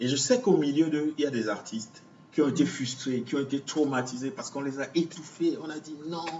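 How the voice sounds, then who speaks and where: A man talks at a fairly quick pace in a fairly high voice. His loudness swings widely. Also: ordinary pitch variation. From Cameroon, Douala. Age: 40s. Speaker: visual artist. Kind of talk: interview. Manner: halting.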